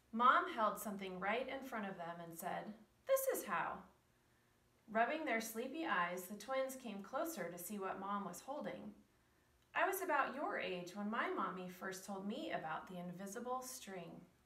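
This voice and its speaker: A woman at a moderate pace, with big swings in loudness and audible room echo. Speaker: preschool teacher reading a story. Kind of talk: bedtime story reading, read aloud to children. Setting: video recording for preschool children. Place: classroom. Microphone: camera far.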